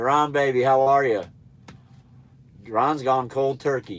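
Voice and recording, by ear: The voice is nasal and fairly bright in tone, moving at a fairly slow pace with fairly even intonation. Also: man.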